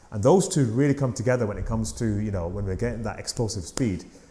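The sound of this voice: A man speaks fast in a fairly low pitch with ordinary pitch variation and a dark, mellow tone.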